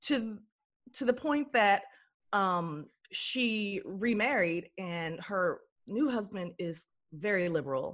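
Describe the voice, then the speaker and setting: On a very clean recording with a silent background, a woman with an American accent speaks at a very slow pace with long, frequent pauses, medium pitch and lively intonation. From Texas, Dallas. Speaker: actress and writer. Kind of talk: casual chat.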